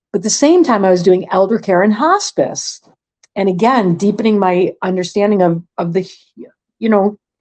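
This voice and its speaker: Here is an unremarkable speaking voice from a woman at a medium pitch. She moves at a moderate pace with ordinary pitch variation. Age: 60s. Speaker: retired chef and volunteer. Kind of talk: interview.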